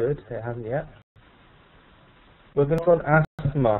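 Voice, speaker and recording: This man speaks with a British accent and fairly high pitch. His pitch varies in an ordinary way. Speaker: pharmacy trainer. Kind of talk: webinar presentation. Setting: online webinar. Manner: fast; halting, many fillers.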